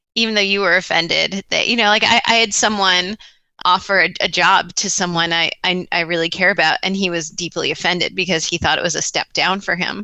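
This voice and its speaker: Fairly quick speech in an American accent with fairly even intonation. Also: woman, medium pitch for a woman. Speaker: talent management director. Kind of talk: podcast interview.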